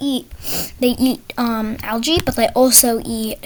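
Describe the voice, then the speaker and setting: The pace is fairly slow. Background noise is noticeable throughout. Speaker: gaming tutorial creator. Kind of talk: tutorial. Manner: halting, with fillers.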